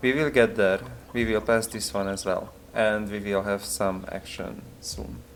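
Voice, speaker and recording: A man speaks at a fairly slow pace with a non-native accent, his pitch fairly low with ordinary variation. Noticeable background noise runs under his voice. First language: not English. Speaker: video game streamer. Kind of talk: gameplay livestream chat. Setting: live stream. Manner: hesitant, many filler words.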